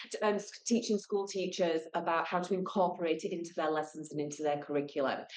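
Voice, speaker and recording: A woman with a British accent speaks fairly quickly in a fairly low pitch with ordinary pitch variation. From United Kingdom. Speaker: school garden educator. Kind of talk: presentation. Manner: loud; animated.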